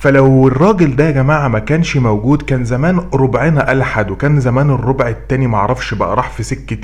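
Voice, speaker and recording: With an Egyptian accent, a man talks at a fairly quick pace and a medium pitch over noticeable background noise. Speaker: YouTube commentator. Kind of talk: commentary vlog. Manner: loud, raised voice; animated.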